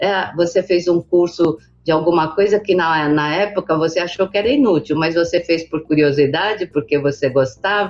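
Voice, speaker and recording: In a plain, everyday voice, a woman speaks with hardly any pauses at a moderate pace, her fairly low pitch showing ordinary variation and her loudness very even. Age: 60s. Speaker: business association president. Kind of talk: interview.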